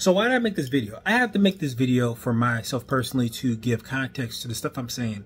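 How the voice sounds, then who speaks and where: A man with an American accent talks at a very fast pace, his medium-pitched voice somewhat breathy. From Wisconsin and Chicago, US Midwest. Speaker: vlogger. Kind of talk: casual monologue. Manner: hesitant, many fillers.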